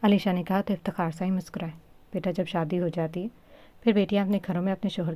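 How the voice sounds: A natural reading voice, fairly even in intonation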